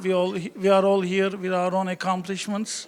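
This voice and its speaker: Speaking at a moderate pace, a man uses a high voice. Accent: strong Turkish. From Turkey. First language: Turkish. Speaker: real estate broker, award winner. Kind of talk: award acceptance speech.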